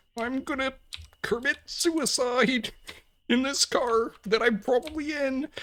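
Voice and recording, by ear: A high-pitched, put-on character voice is at work here. The delivery unfolds fairly slowly.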